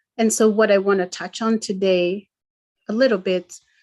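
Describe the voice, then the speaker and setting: With a Kenyan accent, a woman speaks in a medium pitch and a monotone, flat intonation. The background is quiet. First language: Gikuyu. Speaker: event presenter. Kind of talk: online talk presentation. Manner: halting.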